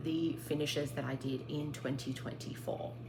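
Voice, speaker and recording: A woman with an Australian accent speaks at a very deep, low pitch, with audible room echo and noticeable background noise. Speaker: craft vlogger. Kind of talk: casual show-and-tell vlog.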